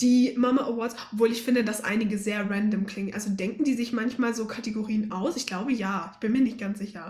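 A woman with a fairly high pitch talks at a fairly quick pace with hardly any pauses, her intonation fairly even and her loudness swinging widely, over noticeable background noise. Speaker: podcast co-host. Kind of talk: casual chat.

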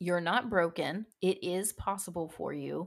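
In a normal speaking voice, the speaker moves at a moderate pace on a very clean recording with a silent background. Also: woman. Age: 30s. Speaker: fitness podcast host and health coach. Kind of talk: solo podcast talk on fitness mindset. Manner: casual and conversational.

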